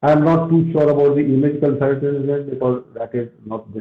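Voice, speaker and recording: The man's voice is fairly high-pitched and somewhat breathy. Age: 60s. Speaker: retired army officer and soft skills trainer. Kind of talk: interview on a live stream. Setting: Instagram live video stream.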